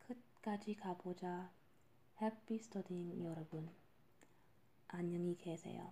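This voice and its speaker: The voice is dark, mellow and somewhat breathy, with fairly even intonation. It moves at a very slow pace with long, frequent pauses. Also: woman, fairly low pitch for a woman. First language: not Korean (speaking Korean). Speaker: podcast host and language learner. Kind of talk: casual monologue. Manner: halting.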